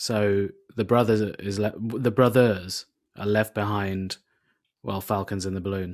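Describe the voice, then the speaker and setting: On a very clean recording with a silent background, a man speaks with a British accent. His fairly low voice moves at a fairly slow pace in a monotone, flat intonation. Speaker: comedian. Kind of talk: casual chat.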